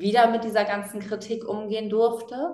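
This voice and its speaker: A woman speaks at a medium pitch, with audible room echo around her voice. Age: 20s. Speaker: animal welfare activist and author. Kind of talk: casual interview.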